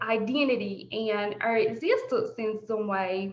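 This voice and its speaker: A woman speaks with a strong Southern US accent, with audible room echo around her. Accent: thick deep Southern drawl. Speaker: presenter. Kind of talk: presentation.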